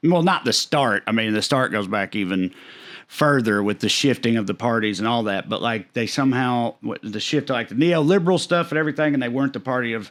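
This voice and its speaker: In a Southern US accent, a man at a medium pitch talks at a very fast pace with lively intonation, in a very clean recording with a silent background. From Tennessee. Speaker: stand-up comedian. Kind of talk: podcast interview answer. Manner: casual, conversational.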